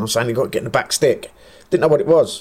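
At a very fast pace, a man talks with an English accent. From England. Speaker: football manager. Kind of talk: casual chat.

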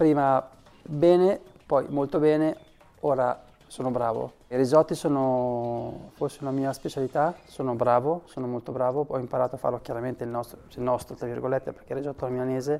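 Music plays in the background while a man talks fairly quickly with fairly even intonation. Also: medium pitch for a man. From Varese, northern Italy. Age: 40s. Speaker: former footballer. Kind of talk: interview testimony. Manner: halting, repeats words.

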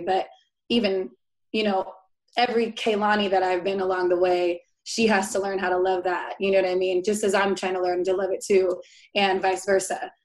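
A woman speaks in a monotone at a medium pitch, with flat intonation. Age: 20s. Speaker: guest, diversity and inclusion worker. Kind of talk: casual interview chat.

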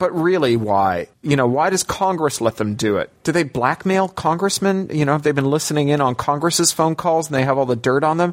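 Using a normal speaking voice, a man talks at a fairly quick pace and fairly high pitch with lively intonation. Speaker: science fiction writer and activist. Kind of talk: interview. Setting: remote call from London.

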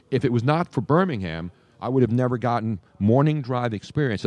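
A man speaks with lively intonation. The background is quiet, and the sound is dry and close with no echo. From South Philadelphia. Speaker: sports radio host. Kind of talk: casual chat. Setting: live broadcast from a public venue.

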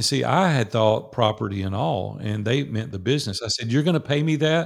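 A man with a strong Southern US accent, medium pitch and lively intonation, on a very clean recording with a silent background. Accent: strong Southern drawl. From US South, Nashville, Tennessee. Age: 60s. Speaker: business owner who sold his company. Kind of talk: interview.

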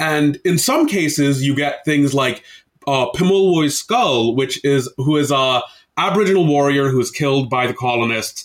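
In a General American accent, this speaker uses an ordinary speaking voice at a moderate pace, with ordinary pitch variation and very even loudness. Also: man, fairly high pitch for a man. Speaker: game designer. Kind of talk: casual interview conversation.

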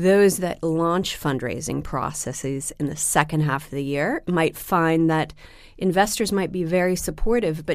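Over a silent, very clean background, a woman with an American accent speaks at a very deep, low pitch with vocal fry. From US Pacific Northwest, Seattle. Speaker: private equity fundraising executive. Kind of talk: interview. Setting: studio in London. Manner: hesitant with many fillers.

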